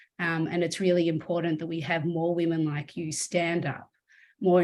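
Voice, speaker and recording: A woman's very deep, low-pitched voice at a moderate pace. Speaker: event host, interviewer. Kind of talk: online panel interview hosting.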